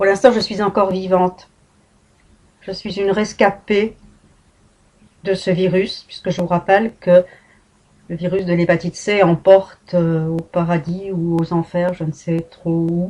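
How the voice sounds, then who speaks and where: A woman with a medium-pitched voice and a dark, mellow tone speaks in a monotone, flat way. She talks at a fairly slow pace, with long, frequent pauses. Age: 60s. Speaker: patient and vlogger. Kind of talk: personal testimony. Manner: emotional, emphatic.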